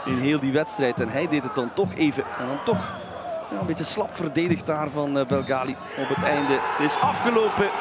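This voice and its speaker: The speaker sounds animated and excited, with lively intonation at a moderate pace. Noticeable background noise runs underneath. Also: man, fairly high pitch for a man. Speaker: football commentator. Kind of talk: live football commentary, play-by-play. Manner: animated, excited at goals ("De goal!"); fluent with some hesitations, fillers.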